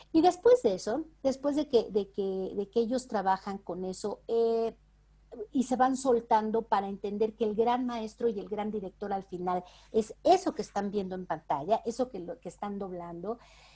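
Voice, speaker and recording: On a very clean recording with a silent background, a woman speaks at a moderate pace and fairly high pitch, her dark, mellow tone showing lively intonation and big swings in loudness. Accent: Mexican. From Mexico. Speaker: voice actress and dubbing director. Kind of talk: interview answer.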